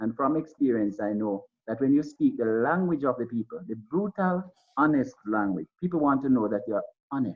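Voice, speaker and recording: A man at medium pitch with a Jamaican accent, lively intonation and a moderate pace. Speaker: school principal or educator on a panel. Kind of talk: panel discussion. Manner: halting with frequent repetitions.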